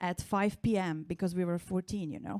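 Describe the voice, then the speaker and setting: A woman with a Slovenian accent at a fairly quick pace, on a very clean recording with a silent background. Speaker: stand-up comedian. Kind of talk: stand-up. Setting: stage with audience.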